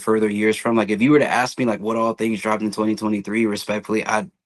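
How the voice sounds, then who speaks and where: A man talks at medium pitch, the background quiet behind him. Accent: American. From Atlanta, Georgia, US South. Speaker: sneaker content creator. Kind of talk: casual podcast chat.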